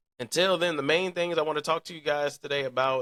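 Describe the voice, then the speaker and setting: An animated delivery in a bright, sharp tone comes through with a dry, close sound and no echo. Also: man. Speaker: podcast host. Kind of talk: casual livestream podcast chat. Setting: live stream studio. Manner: animated, loose and repetitive.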